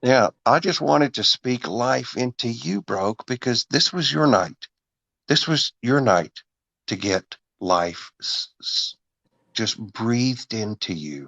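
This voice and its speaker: A man speaks very slowly in an East Texas accent. His voice sits at medium pitch but swings very widely. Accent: east Texas Southern US. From Texas, Longview (east Texas). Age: 50s. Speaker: voice actor. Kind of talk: casual chat. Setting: livestream. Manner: earnest, preacher-like.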